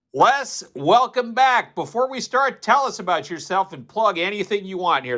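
A man with a bright, sharp tone talks in a raised, projected voice, with big swings in loudness and hardly any pauses. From North Dakota, Fargo. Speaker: podcast moderator. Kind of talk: podcast interview.

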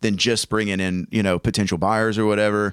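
A man with a Southern US accent, fairly low in pitch, animated in tone, at a very fast pace. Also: dry, close sound with no echo. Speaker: real estate agent and podcast host. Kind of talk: casual podcast chat. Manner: animated, jokey.

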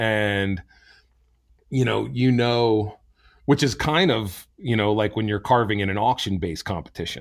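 In an American accent, a man uses a normal speaking voice, fairly low in pitch with ordinary pitch variation, at a moderate pace. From New Jersey. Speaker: chainsaw carver and event organizer. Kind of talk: interview. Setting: remote call.

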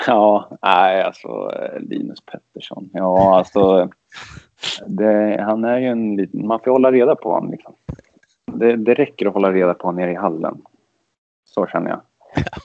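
Pausing long and often, a man speaks with ordinary pitch variation. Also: moderate pace. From Sweden, Örebro. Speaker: ice hockey player. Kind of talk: casual interview.

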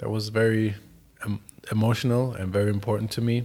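With a German accent, a man talks at a fairly quick pace, medium in pitch, in monotone, flat intonation. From Germany. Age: 20s. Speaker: professional footballer. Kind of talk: casual interview.

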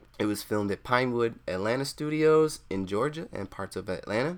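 The recording is very clean, and the background is silent. Pitch moves in very wide swings. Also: man. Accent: Southern US. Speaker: movie reviewer. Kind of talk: casual review, video commentary. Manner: casual, jokey.

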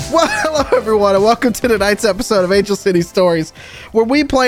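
Over noticeable background noise, a man with an American accent speaks fairly quickly at a high pitch with lively intonation. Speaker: game master of role-playing stream. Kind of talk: casual chat, live-streamed game session.

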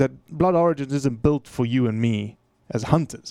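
A man's fairly high voice with a dark, mellow tone, ordinary pitch variation, a moderate pace and a dry, close sound with no echo. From South Africa. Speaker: conservation advocate and hunter. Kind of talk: podcast interview.

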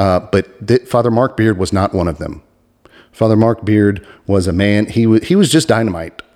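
A man's fairly low pitch, ordinary pitch variation and moderate pace. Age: 40s. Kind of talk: religious podcast monologue. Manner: animated.

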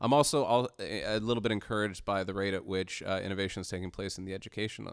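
A man's fairly low voice with a Canadian accent, an unremarkable speaking voice at a fairly quick pace, in a very clean recording with a silent background. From Canada. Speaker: freelance journalist. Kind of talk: casual interview discussion. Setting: studio.

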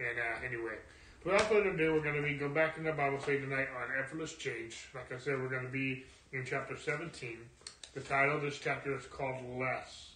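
A man talks at a fairly quick pace with a fairly high pitch and ordinary pitch variation. Noticeable background noise runs under his voice. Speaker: Bible study leader. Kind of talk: Bible study teaching. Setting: church, streamed online. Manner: informal, hesitant with fillers.

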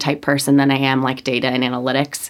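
A woman talks with an American accent. Noticeable background noise runs underneath. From Connecticut, US. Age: 20s. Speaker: social worker. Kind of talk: casual chat.

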